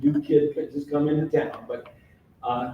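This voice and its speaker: With audible room echo, a man in a fairly high, somewhat breathy voice speaks at a moderate pace with ordinary pitch variation. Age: 70s. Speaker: author and local historian. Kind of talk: public lecture.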